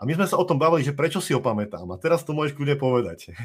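A man talks at a very fast pace with a fairly high pitch. His voice has vocal fry, and his pitch varies in an ordinary way. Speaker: podcast host. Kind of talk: live-streamed interview.

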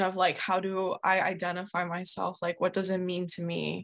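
A woman with an American accent and monotone, flat intonation. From US Northeast, suburbs of Philadelphia. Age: 20s. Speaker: schoolteacher. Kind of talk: interview.

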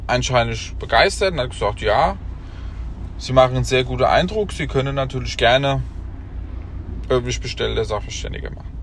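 A man talks at a moderate pace with long, frequent pauses, and the recording carries audible room echo and noticeable background noise. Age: 30s. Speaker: company owner and expert assessor. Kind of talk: casual monologue. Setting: in a car.

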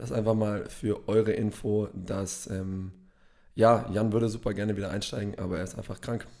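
A man talks at a moderate pace with a fairly low pitch and a dark, mellow tone. His intonation stays fairly even. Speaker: gym podcast co-host. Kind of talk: casual chat.

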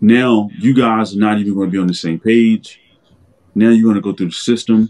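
A man's fairly low-pitched voice with a dark, mellow tone, a fairly quick pace and fairly even intonation. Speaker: podcast co-host. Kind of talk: casual chat.

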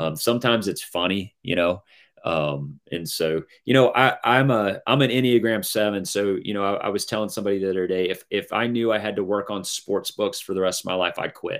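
An unremarkable speaking voice from a man, fairly low in pitch, fairly quick, with ordinary pitch variation, on a very clean recording with a silent background. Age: 50s. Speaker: author. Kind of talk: casual chat.

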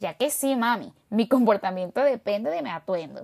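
A woman with a Caracas accent speaks at a fairly slow pace in an animated tone, her fairly high pitch making very wide swings. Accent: Venezuelan Spanish (Caracas). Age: 30s. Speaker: podcaster. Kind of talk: monologue storytelling.

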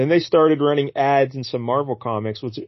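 This man has a normal speaking voice. His pitch is medium with ordinary pitch variation. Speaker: podcast host. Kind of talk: casual comic-book podcast chat. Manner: joking, playful.

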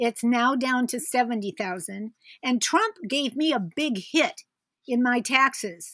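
A woman with an American accent speaks in a high, bright, sharp voice with lively intonation. Her fairly slow delivery is recorded with a dry, close sound and no echo. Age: 70s. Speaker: podcast listener invited as guest. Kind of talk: casual chat. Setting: remote call.

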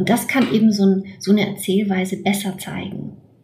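A woman at a medium pitch and moderate pace, with audible room echo. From Romania (Transylvania and Banat). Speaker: novelist. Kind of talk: interview about her novel. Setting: remote call from her desk at home. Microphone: remote line.

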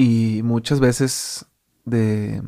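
A man's monotone, flat delivery on a very clean recording with a silent background. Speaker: podcast host. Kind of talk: interview.

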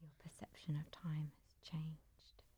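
Her tone dark and mellow, a somewhat breathy woman speaks at a fairly slow pace. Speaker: interviewer. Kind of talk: interview. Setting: in person interview.

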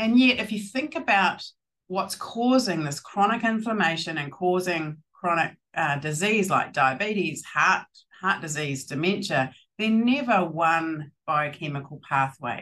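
In a New Zealand accent, a woman speaks at a fairly slow pace and a medium pitch. Her tone is bright and sharp, with very wide pitch swings. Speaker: plant scientist and field hockey player. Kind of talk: casual interview chat. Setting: video call.

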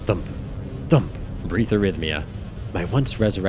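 This is plain reading aloud, with ordinary pitch variation.

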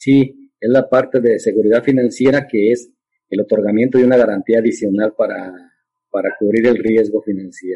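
A man's dark, mellow voice at medium pitch, moderate pace and fairly even intonation. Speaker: agricultural credit officer. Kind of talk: interview.

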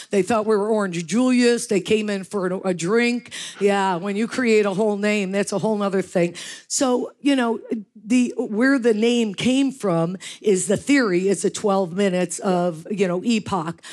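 A woman with an American accent and a plain, everyday voice speaks at a moderate pace, with medium pitch and ordinary pitch variation. The recording is very clean, with a silent background. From US Northeast, western New York. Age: 60s. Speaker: fitness franchise founder. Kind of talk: panel interview on stage. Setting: stage with audience.

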